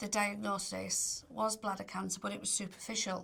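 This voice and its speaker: A woman with a Cumbrian accent speaks at a medium pitch with vocal fry. Her intonation stays fairly even. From northern England, Barrow-in-Furness, Cumbria. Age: 60s. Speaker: cancer patient. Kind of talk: testimony. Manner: conversational with hesitations.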